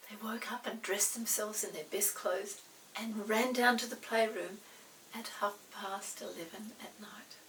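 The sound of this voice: A woman speaks at a fairly slow pace with fairly even intonation and a fairly bright tone. Room echo is audible. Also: medium pitch for a woman.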